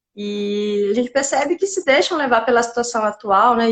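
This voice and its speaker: The speech moves at a fairly quick pace in a strong Paraíba accent. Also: woman. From Paraíba, northeastern Brazil. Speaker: psychiatrist. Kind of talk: interview.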